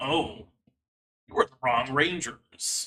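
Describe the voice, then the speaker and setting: A man's gravelly, put-on character voice. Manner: menacing.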